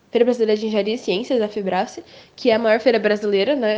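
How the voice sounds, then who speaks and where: A woman speaks at a fairly high pitch in a dark, mellow tone. Her intonation stays fairly even. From Brazil, Campo Grande, Mato Grosso do Sul. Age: 18. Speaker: young science student. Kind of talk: interview answers.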